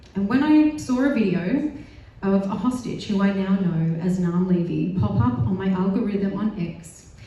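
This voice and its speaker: Speaking in an Australian accent, a woman uses lively intonation at a medium pitch, with noticeable background noise and audible room echo. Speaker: health project officer, panel speaker. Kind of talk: panel speech. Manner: loud.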